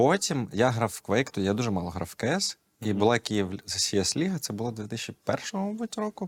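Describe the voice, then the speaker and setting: Pitched in the medium range, a man's voice swings very widely up and down. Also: dry, close sound with no echo. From Ukraine, raised in Kyiv. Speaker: esports coach. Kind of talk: casual chat.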